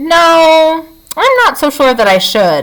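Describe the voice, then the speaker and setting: A woman's put-on character voice, squeaky and extremely high, with very wide pitch swings and a fairly slow pace. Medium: read story. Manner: mild, unassuming.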